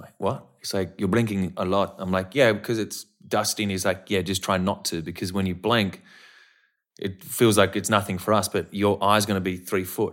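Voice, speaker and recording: At a moderate pace, a man with an Australian accent speaks in a fairly low pitch with big swings in loudness, on a very clean recording with a silent background. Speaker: actor. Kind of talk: casual chat. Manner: animated.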